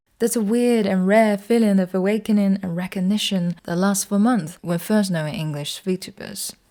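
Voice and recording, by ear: A woman's medium-pitched voice at a moderate pace, with ordinary pitch variation and a slightly mellow tone.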